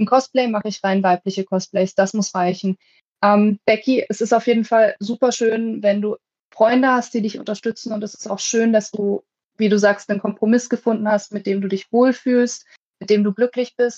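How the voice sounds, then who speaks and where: Dry and close with no echo, a woman's fairly high voice moves at a moderate pace in a monotone, flat intonation. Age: 20s. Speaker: podcast host. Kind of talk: casual chat. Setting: video call.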